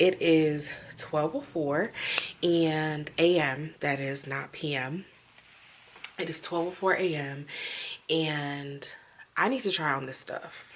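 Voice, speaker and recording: Using a put-on character voice, a woman whispers in a raspy way at a fairly slow pace. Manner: whispering.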